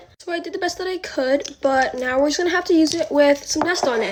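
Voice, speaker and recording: Amid noticeable background noise, a woman speaks very fast at a high pitch with ordinary pitch variation. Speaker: influencer. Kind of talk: get-ready-with-me vlog. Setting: at home filming herself. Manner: stutters; casual, filler-heavy.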